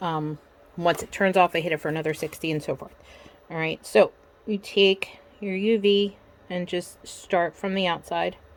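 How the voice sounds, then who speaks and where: A woman speaks with fairly low pitch and fairly even intonation at a moderate pace. Her loudness swings widely. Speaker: crafter. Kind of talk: tutorial. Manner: soft-spoken.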